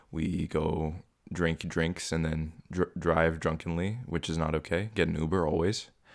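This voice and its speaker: The speech moves at a moderate pace with fairly even intonation. The recording is very clean, and the background is silent. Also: man. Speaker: podcast host. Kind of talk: casual chat.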